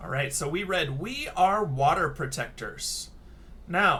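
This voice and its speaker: A man speaks in a raised, projected voice. His pitch swings very widely. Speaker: elementary school teacher. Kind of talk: tutorial. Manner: casual.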